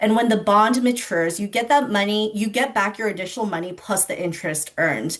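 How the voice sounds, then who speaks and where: A woman talks at a moderate pace in a medium pitch with lively intonation. She has an ordinary speaking voice. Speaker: financial educator presenter. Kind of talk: online financial literacy presentation.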